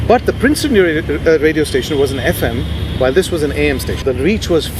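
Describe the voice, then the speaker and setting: A man's fairly high voice at a very fast pace over noticeable background noise. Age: 50s. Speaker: radio presenter and media CEO. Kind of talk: interview answer. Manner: calm.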